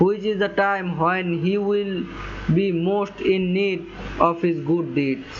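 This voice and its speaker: The speech moves at a very slow pace with fairly even intonation. Noticeable background noise runs underneath. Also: man, high pitch for a man. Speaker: Islamic religious teacher. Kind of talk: religious talk on Islamic teachings. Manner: speaks with hesitations and self-corrections.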